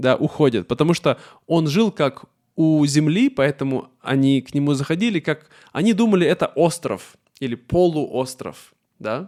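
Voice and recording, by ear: With few pauses and a moderate pace, the speaker uses lively intonation and a slightly mellow tone. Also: man, fairly high pitch for a man.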